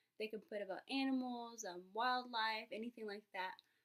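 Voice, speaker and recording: Fairly even intonation in a woman's fairly high-pitched voice. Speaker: student. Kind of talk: class presentation. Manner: fast; hesitant, many fillers.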